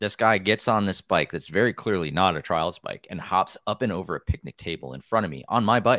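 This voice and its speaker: With an American accent, a man talks at a fairly quick pace with hardly any pauses, his very deep, low pitch carrying a bright, sharp tone and vocal fry. The recording is very clean, dry and close, with a silent background and no echo. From US Midwest, Wisconsin. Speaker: mountain bike trials rider and YouTuber. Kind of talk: casual chat.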